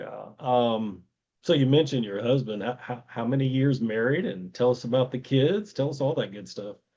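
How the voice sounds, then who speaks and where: With a Tennessee accent, a man speaks with ordinary pitch variation and big swings in loudness. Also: medium pitch for a man, moderate pace. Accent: Tennessee twang. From US South, Virginia. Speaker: podcast host. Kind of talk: interview conversation.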